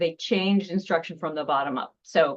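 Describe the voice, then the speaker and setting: With an American accent, a woman with a plain, everyday voice talks at a fairly low pitch with ordinary pitch variation. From Seattle. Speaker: nonprofit founder. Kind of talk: presentation.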